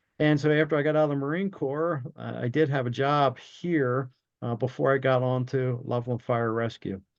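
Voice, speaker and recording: Over a quiet background, a man with an American accent speaks at a medium pitch and moderate pace with fairly even intonation. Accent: New Jersey accent, stronger when cranked up. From South Jersey, Cumberland County. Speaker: retired fire chief and leadership coach. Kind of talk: interview conversation.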